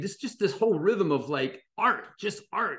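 In a quiet background, a high-pitched man with an American accent sounds animated, his intonation lively. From US Midwest, Dayton, Ohio. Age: 60s. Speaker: illustrator. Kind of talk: interview conversation.

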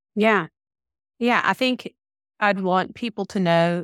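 Recorded very cleanly against a silent background, a woman speaks with a Southern US accent. The sound is dry and close, with no echo. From Georgia, US South. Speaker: group practice owner and consultant. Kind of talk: casual interview chat.

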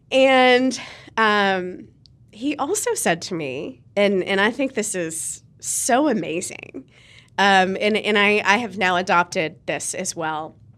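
With an American accent and lively intonation, a woman speaks very slowly at a medium pitch on a very clean recording with a silent background. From Ohio, Cincinnati (US Midwest). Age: 40s. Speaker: PR firm owner. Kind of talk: casual interview.

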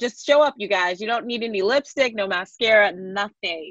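A woman talks at a moderate pace in a bright, sharp, animated tone with ordinary pitch variation. The sound is dry and close, with no echo. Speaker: podcast host. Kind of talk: casual interview. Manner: high energy.

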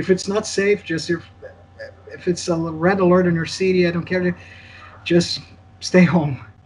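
A man with a high-pitched voice speaks at a moderate pace, leaving long, frequent pauses over noticeable background noise. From Brazil. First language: Portuguese. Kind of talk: casual interview.

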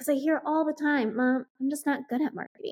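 With an American accent, a woman speaks at a high pitch in a dry, close sound with no echo. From US Midwest (Iowa). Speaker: marketing coach. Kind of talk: podcast interview.

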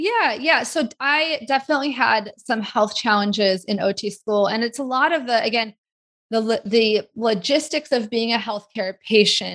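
At a moderate pace, a woman speaks in an unremarkable speaking voice with a fairly high pitch. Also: ordinary pitch variation. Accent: American. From US Pacific Northwest (Seattle area). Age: 40s. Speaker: occupational therapist. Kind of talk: interview conversation.

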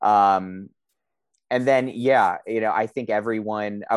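A man with an East Coast US accent speaks at a moderate pace, his pitch fairly low. His pitch variation is ordinary, and the background is quiet. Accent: American East Coast. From US East Coast (DC metro area, New Jersey). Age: 30s. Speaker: course student on career break. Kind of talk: interview. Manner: halting, many fillers.

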